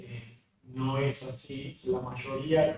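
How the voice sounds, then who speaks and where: Fairly even intonation from a man at medium pitch. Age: 60s. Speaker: cardiologist. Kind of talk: lecture. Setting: remote video presentation. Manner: hesitant, many fillers.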